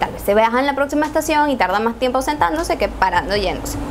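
A voice with a Venezuelan accent is heard against light background noise. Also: woman. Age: 20s. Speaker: YouTuber. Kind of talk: story time talk to camera. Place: home room.

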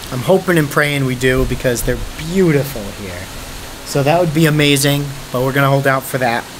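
A man's fairly quick delivery, with ordinary pitch variation, comes through noticeable background noise. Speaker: travel vlogger. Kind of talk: casual vlog chat. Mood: relaxed, cheerful.

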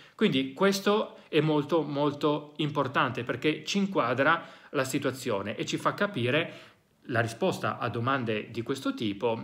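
Over a quiet background, a man with fairly high pitch speaks fairly slowly, his intonation lively. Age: 40s. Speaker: psychologist and educator; educator. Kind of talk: educational monologue. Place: home room.

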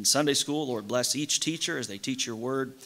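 The man in this recording talks neither fast nor slow, at a moderate speed. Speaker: pastor. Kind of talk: sermon. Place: church. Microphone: podium.

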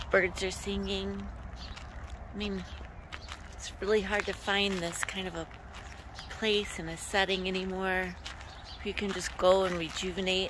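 Music plays in the background. The speech is fairly slow, with a dry sound and no echo. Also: woman. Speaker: travel vlogger. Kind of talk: casual vlog chat. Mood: calm, reflective, soft. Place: open country. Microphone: phone near.

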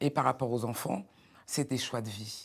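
Against a quiet background, a woman talks at a fairly quick pace in a very deep, low pitch. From France, Beninese heritage. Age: 40s. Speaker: entrepreneur; guest. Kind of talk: panel discussion. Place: studio. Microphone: lapel.

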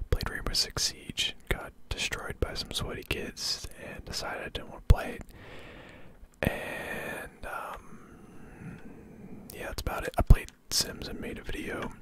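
A man whispers at a fairly slow pace, with long, frequent pauses and big swings in loudness. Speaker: ASMR gaming content creator. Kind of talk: casual ASMR gameplay ramble. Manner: whispered, soft-spoken. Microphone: studio mic.

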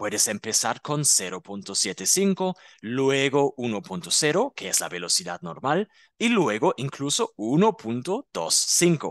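This man's pitch is medium and swings very widely. The sound is dry and close with no echo, over a quiet background. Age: 30s. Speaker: German teacher. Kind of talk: tutorial; scripted language-learning dialogue. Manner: slow.

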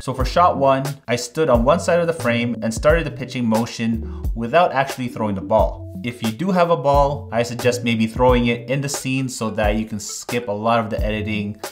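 A man speaks at a moderate pace while clear music sits in the background. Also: hardly any pauses. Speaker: video creator. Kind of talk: tutorial. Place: studio.

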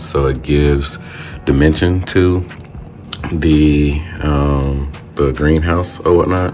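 A man speaks in a very deep, low voice with a monotone, flat intonation. There is light background noise. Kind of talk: casual vlog chat. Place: home room. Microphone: phone near.

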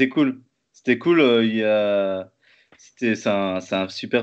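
Talking very slowly, a man is heard. His pitch variation is ordinary. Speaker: interviewer, live stream host. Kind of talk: casual interview. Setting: live stream, video call. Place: home room. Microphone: webcam.

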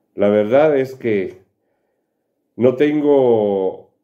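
Against a quiet background, someone speaks very slowly in a Guatemalan accent. The pitch varies in an ordinary way. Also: man. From Quetzaltenango, Guatemala. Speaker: student testimonial giver. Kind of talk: testimonial. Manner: formal. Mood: grateful, earnest. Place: home room. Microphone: webcam.

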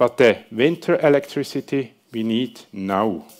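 A man speaks at a very slow pace with ordinary pitch variation. The background is quiet. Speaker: presenter. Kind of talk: presentation talk. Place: hall.

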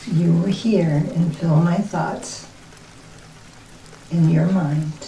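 Speaking very slowly in a fairly low, soothing voice, a woman keeps her loudness very even and her intonation fairly even over noticeable background noise. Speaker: reiki practitioner and light worker. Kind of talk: ASMR reiki role play, soft talk. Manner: soft, slow, soothing.

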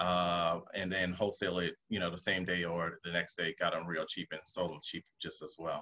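With an American accent, a man talks at a moderate pace with hardly any pauses. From US South. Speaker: real estate investor; guest. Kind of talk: webinar presentation. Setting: video call. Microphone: video call.

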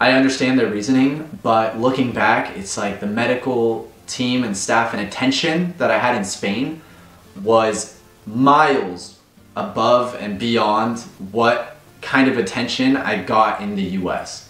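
A man talks at a fairly slow pace with ordinary pitch variation. Music plays in the background, and the room echo is audible. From United States. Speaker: expat vlogger. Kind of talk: personal vlog talk to camera. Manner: emotional. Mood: earnest, grateful, emotional. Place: home room.

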